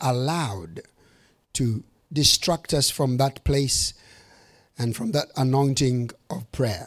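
A man at a fairly high pitch, speaking at a very slow pace. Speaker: bishop. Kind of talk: sermon. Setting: church with audience. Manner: animated; humorous, fervent preaching.

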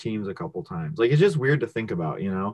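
A man speaks in a plain, everyday voice, fairly low, with lively intonation. The sound is dry and close with no echo, over a quiet background. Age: 20s. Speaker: sports card podcast co-host. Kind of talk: casual chat.

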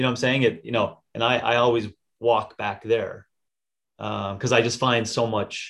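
This man talks at a medium pitch with vocal fry. His intonation stays monotone and flat. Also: moderate pace. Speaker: fitness podcast co-host. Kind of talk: casual chat.

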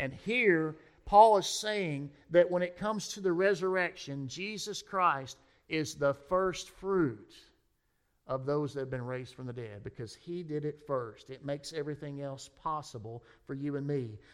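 A plain, everyday voice, this man's fairly high pitch carries lively intonation at a moderate pace, with big swings in loudness. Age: 40s. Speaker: pastor. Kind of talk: sermon.

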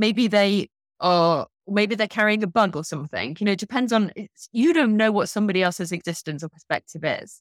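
A normal speaking voice from a woman, medium in pitch, fairly quick and lively in intonation, with a dry, close sound with no echo. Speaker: journalist and author. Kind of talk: guest interview with audience Q&A. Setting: video call webinar.

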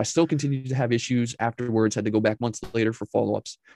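A man at a very fast pace, fairly even in intonation, over a quiet background. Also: dry, close sound with no echo. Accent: American. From New York State, north of New York City. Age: 40s. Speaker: podcast host and entrepreneur. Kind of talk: casual interview.

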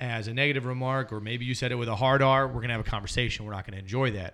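Heard on a very clean recording with a silent background, a man speaks at medium pitch with fairly even intonation. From Alabama, US South. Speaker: youth minister and podcast co-host. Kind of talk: casual discussion podcast.

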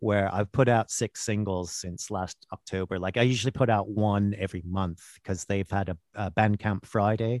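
With a quiet background and a dry, close sound with no echo, a plain, everyday voice moves at a moderate pace. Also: man. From Canada (Vancouver). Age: 50s. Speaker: actor and singer-songwriter. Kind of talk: casual chat. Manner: laughs often.

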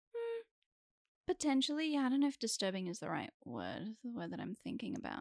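Fairly quick pace, with a dry, close sound and no echo. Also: woman. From Sydney, Australia. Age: 20s. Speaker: actor. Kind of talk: casual chat.

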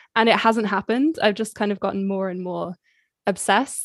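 Very cleanly recorded against a silent background, a woman speaks at medium pitch. Her pace is fairly quick and her intonation fairly even. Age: 20s. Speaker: chess streamer. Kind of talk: casual interview.

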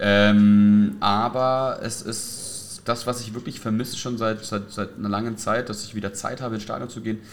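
A man with a fairly low pitch at a moderate pace, fairly even intonation and audible room echo. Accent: slight southern German. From Franconia, Germany (near Nuremberg). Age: 40s. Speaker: youth football coach. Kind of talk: casual chat. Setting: hotel lobby. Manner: halting.

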